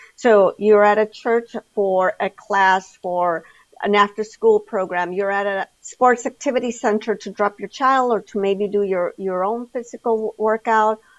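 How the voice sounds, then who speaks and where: A woman speaks at a fairly slow pace in an ordinary speaking voice with medium pitch and hardly any pauses, the sound dry and close with no echo. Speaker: hospital community health director. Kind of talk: interview.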